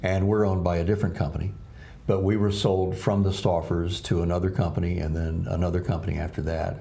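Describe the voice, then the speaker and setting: A man talks at a very fast pace in a very deep, low voice with fairly even intonation. The recording has audible room echo and noticeable background noise. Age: 60s. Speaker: TV news anchor. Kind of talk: casual interview chat.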